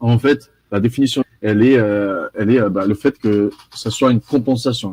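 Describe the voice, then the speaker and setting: With a slight Brazilian accent, a man talks at a fairly slow pace in a medium-pitched, dark, mellow voice with fairly even intonation, recorded dry and close with no echo. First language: Portuguese (speaking French). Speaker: carbon offset expert. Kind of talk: live presentation. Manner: mumbles words.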